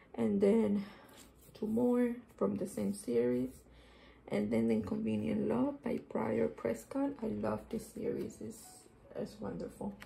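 A woman's very slow speech sits over light background noise. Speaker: book journaler. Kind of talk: casual talk to camera. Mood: warm, enthusiastic. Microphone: phone near.

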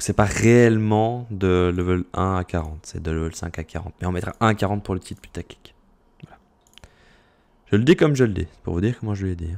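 A man's very deep, low voice at a moderate pace, with ordinary pitch variation, big swings in loudness, and long, frequent pauses. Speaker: gaming YouTuber and streamer. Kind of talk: gameplay tutorial commentary. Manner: clear articulation.

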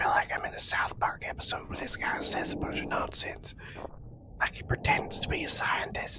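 Whispered speech from a man at a moderate pace, noticeable background noise underneath. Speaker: let's play gamer. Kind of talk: gameplay commentary.

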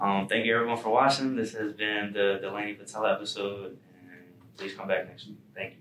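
With an American accent, a man speaks at a fairly quick pace and fairly low pitch, with fairly even intonation and big swings in loudness, in audible room echo over light background noise. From Pittsburgh, Pennsylvania. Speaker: student podcast host. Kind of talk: casual interview. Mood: relaxed, friendly. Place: studio.

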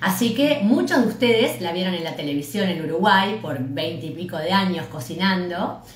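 A woman with a fairly low pitch talks at a moderate pace, hardly pausing at all. Her pitch swings very widely, and the room has an audible echo. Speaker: interviewer. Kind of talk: casual talk to camera. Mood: warm, cheerful, smiling. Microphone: phone near.

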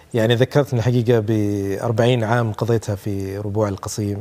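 A man talks at a moderate pace in a fairly low pitch, his dark, mellow tone carrying fairly even intonation. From Saudi Arabia, raised from age 3-4. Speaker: poet. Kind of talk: interview. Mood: warm, nostalgic. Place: studio. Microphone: lapel.

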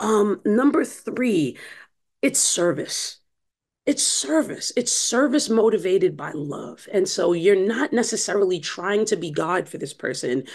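A woman with an American accent, fairly slow, with very wide pitch swings against a quiet background. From US Northeast, Brooklyn, New York; New York. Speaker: church discipleship director and author; podcast guest. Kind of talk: interview. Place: home room. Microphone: webcam.

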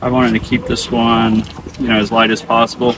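A man talks at a fairly quick pace in a dry recording with no echo but noticeable background noise. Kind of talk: tutorial. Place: open country.

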